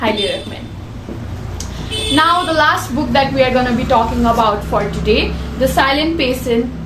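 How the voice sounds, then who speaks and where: With lively intonation and a moderate pace, a woman speaks amid noticeable background noise and audible room echo. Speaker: book reviewer. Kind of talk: casual review video. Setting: bedroom. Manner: animated.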